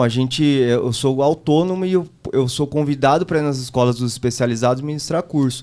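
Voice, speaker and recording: A man speaks at a moderate pace and medium pitch. His tone is dark and mellow. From São Paulo state, Brazil (Taboão da Serra). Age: 30s. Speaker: driving instructor and political candidate. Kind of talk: casual chat.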